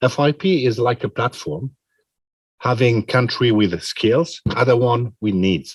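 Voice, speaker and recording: Man at a fairly slow pace and medium pitch, somewhat breathy, with ordinary pitch variation, very even loudness, and a dry, close sound with no echo. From Switzerland. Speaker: president of international pharmacy federation. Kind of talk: press conference answer. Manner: halting, many fillers.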